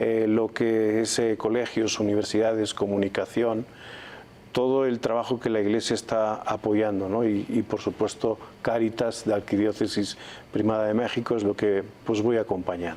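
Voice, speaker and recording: A man with a Spanish accent and a fairly low pitch speaks at a moderate pace in a dark, mellow tone, his intonation monotone and flat and his loudness very even. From Spain, Valladolid. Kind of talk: TV interview. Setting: TV studio.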